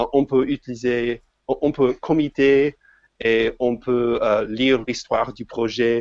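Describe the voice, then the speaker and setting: A man speaks with an English accent and fairly even intonation. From United States. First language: English (speaking French). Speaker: software developer. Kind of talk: podcast interview. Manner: halting, many hesitations.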